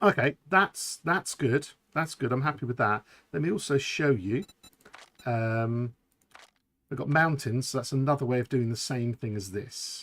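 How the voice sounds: A man with a London accent speaks at a medium pitch and a moderate pace, with ordinary pitch variation and long, frequent pauses, in a dry, close sound with no echo.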